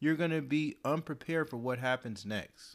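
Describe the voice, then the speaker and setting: In a very clean recording with a silent background, a man talks at a fairly quick pace with ordinary pitch variation. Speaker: guest. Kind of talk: casual conversation. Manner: soft-spoken.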